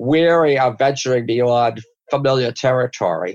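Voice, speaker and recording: A man with an American accent speaks in a normal speaking voice. His pitch is fairly high and his intonation lively. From Massachusetts, US. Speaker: comics writer and historian. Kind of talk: interview.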